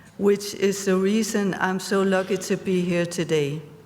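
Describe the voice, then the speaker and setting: At a fairly slow pace, a woman speaks in a fairly low pitch. Room echo is audible. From Denmark. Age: 60s. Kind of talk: conference talk. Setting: stage with audience.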